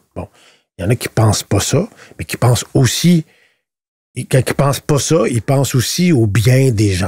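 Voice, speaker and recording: A man speaks at a moderate pace with a dark, mellow, somewhat breathy tone. His intonation is lively, and the sound is dry and close with no echo. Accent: Quebec. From Quebec. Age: 60s. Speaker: politician. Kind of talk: podcast interview. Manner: halting, many repetitions and fillers.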